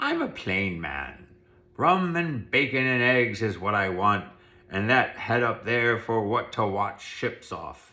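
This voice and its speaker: Putting on a gruff character voice, a man speaks at a medium pitch and a fairly slow pace with lively intonation. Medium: read story. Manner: rough, gruff.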